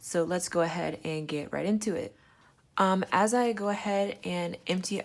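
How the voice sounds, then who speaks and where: A woman talks in an unremarkable speaking voice. It sits fairly low in pitch with ordinary pitch variation. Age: 20s. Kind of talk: casual talk to camera.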